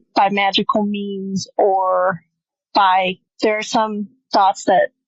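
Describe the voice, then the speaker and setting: In an American accent, a woman speaks very slowly at medium pitch, her intonation monotone and flat. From Michigan. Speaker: podcast co-host. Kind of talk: casual chat.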